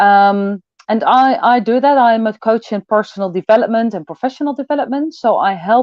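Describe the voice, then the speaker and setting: Speaking at a moderate pace with a Dutch accent, a woman uses a fairly high pitch and ordinary pitch variation. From Netherlands. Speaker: personal development coach. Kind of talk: online event talk. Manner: halting, many fillers.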